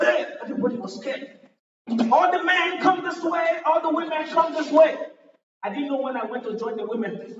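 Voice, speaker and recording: A man with a Nigerian accent at an extremely high pitch, lively intonation and moderate pace, with audible room echo. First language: a Nigerian language. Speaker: stand-up comedian. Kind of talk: stand-up. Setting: stage with audience.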